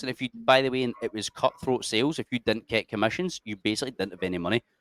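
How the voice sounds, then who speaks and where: Speaking very fast in a Scottish accent, a man keeps a medium pitch and ordinary pitch variation, recorded with a dry, close sound and no echo. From Scotland, Cumbernauld. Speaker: army veteran and adventure YouTuber. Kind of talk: casual chat. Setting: podcast studio.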